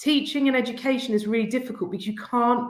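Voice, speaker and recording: In an English accent, a woman speaks with lively intonation amid audible room echo. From England. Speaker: head teacher. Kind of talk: conference presentation.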